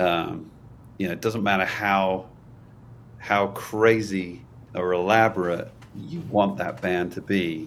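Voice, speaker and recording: A man's very deep, low voice at a very slow pace, with ordinary pitch variation, long, frequent pauses and audible room echo. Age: 40s. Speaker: worship pastor. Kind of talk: casual interview chat.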